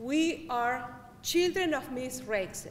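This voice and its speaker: In a Spanish accent, a woman speaks very slowly with lively intonation, and room echo can be heard. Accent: noticeable Spanish. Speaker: public health worker. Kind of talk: speech to student assembly.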